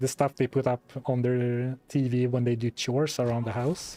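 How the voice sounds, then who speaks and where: A man's fairly slow, monotone, flat delivery, dry and close with no echo, with music in the background. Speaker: video creator. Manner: calm, doesn't raise voice, measured slow-paced.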